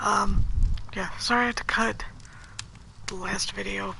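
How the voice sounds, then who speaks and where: Someone whispers at a very slow pace. Noticeable background noise can be heard. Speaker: video game streamer. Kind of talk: let's play commentary. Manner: soft-spoken.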